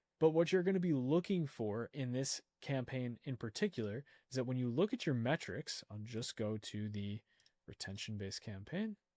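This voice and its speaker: A man with an ordinary speaking voice talks at a moderate pace, his medium pitch carried by lively intonation. The recording is very clean and dry, close with no echo and a silent background. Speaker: online ads instructor. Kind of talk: screen-share tutorial.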